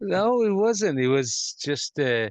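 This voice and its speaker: Against a quiet background, a man with a Persian accent speaks with very wide pitch swings. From Iran. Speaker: rug company founder. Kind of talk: interview answer.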